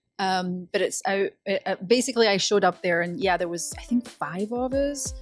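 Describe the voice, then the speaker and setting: A woman at medium pitch and a moderate pace, with lively intonation, in a dry, close sound with no echo and music in the background. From Scotland. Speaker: voice actor. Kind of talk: interview answer.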